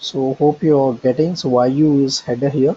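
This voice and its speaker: Here a man uses an ordinary speaking voice, with ordinary pitch variation at a moderate pace. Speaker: software trainer. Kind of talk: online training session.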